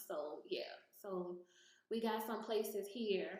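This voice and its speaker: In a space with audible room echo, a woman talks at a fairly high pitch. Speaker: YouTuber giving gig work tips. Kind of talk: screen-share tutorial. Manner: casual, hesitant with many fillers.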